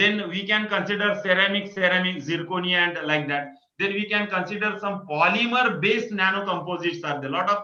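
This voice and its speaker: Raising and projecting his fairly high voice, a man talks at a fairly quick pace with fairly even intonation, and the room echo is audible. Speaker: invited lecturer. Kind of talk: lecture. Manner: halting.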